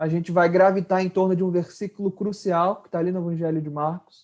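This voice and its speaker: A man speaks in a northern Brazilian accent with a high pitch. His intonation is monotone and flat. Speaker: spiritist lecturer. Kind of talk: religious lecture. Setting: video call.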